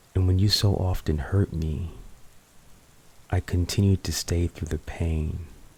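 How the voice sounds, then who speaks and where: A man speaks very slowly in a very deep, low voice with a dark, mellow tone. His delivery is monotone and flat, and somewhat breathy. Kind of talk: poetry reading to help sleep. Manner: soft, intimate, slow.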